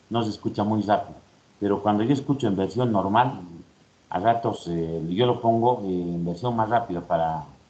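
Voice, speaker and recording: The speaker goes at a fairly quick pace with ordinary pitch variation, and audible room echo surrounds the voice. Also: man. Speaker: university lecturer. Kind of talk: lecture. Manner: fast.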